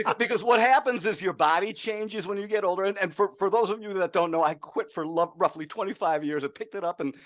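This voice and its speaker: Against a quiet background, a man talks very fast with lively intonation. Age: 60s. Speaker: market strategist. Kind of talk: casual chat.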